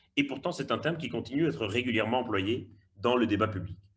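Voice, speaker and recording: Speaking with a slight Belgian accent, a man talks at a fairly quick pace in a somewhat breathy voice with lively intonation. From Belgium. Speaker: migration researcher and lecturer. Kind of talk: webinar talk. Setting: online webinar. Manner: hesitant, with repetitions.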